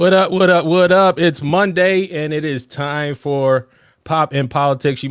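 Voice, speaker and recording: This man has an ordinary speaking voice. His pitch is fairly high and his intonation fairly even. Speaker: fill-in podcast host. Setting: online video show.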